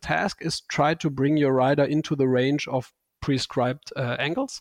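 A man with a fairly high pitch and a German accent, fairly even intonation, a dry, close sound with no echo, and a quiet background. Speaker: bike fit and saddle company expert. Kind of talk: podcast interview.

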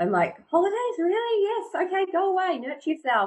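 A woman's voice over noticeable background noise. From rural New Zealand. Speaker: real estate agency owner. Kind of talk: casual interview.

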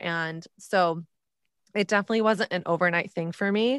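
Fairly quick and fairly low-pitched, a woman with an American accent speaks in an unremarkable speaking voice, the recording very clean with a silent background and a dry, close sound with no echo. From Texas. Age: 30s. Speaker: author and podcast host. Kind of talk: interview.

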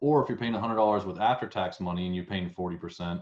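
A man speaks with a Southern US accent. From US South. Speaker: podcast host. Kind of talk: interview wrap-up, casual conversation.

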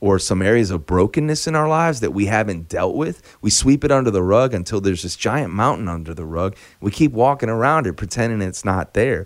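In a very clean recording with a silent background, a man with an American accent and an unremarkable speaking voice talks fairly quickly and hardly pauses, using lively intonation at a fairly low pitch. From US Midwest, Chicago. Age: 40s. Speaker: singer-songwriter. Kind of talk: casual interview chat.

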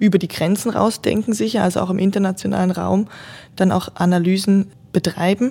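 A woman with a dark, mellow, somewhat breathy tone talks at a fairly quick pace. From northern German lowlands. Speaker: hospital innovation specialist, former physiotherapist. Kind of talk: interview about her master's thesis.

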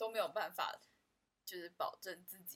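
A woman speaks at a moderate pace. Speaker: podcast co-host, office worker. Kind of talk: casual chat.

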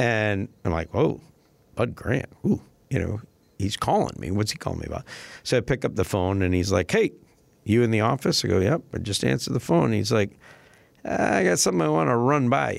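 With an American accent, a man talks at a fairly quick pace in a fairly low voice with vocal fry and lively intonation. He leaves long, frequent pauses, and the recording is very clean with a silent background. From Minnesota, US. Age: 50s. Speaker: retired sports public relations staffer. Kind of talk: casual storytelling interview.

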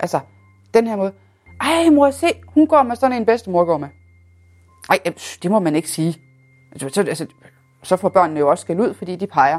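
A medium-pitched woman at a moderate pace, with very wide pitch swings, long, frequent pauses, and a dry, close sound with no echo. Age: 30s. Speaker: person living with multiple sclerosis. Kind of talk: personal testimony.

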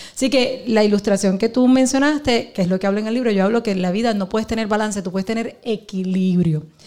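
Speaking very fast with hardly any pauses, a woman uses a fairly high voice. Her pitch varies in an ordinary way. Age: 40s. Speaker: pastor and businesswoman. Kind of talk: live podcast interview. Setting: live event with audience.

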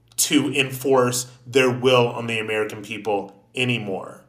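A man with a bright, sharp, animated tone talks at a fairly slow pace over audible room echo. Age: 30s. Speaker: podcast host. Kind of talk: political commentary monologue.

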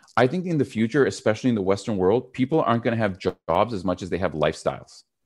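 Speaking at a very fast pace, a man with a medium-pitched voice uses lively intonation and an animated tone. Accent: Canadian. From Canada. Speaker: public speaking coach and entrepreneur. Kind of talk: podcast interview.

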